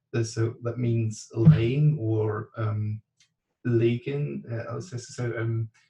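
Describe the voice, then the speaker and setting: Very slowly and with long, frequent pauses, a man with a dark, mellow, somewhat breathy tone talks in fairly even intonation with big swings in loudness. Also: medium pitch for a man. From Germany. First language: German. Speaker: class participant. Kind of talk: online class discussion. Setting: video call. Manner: halting, many fillers.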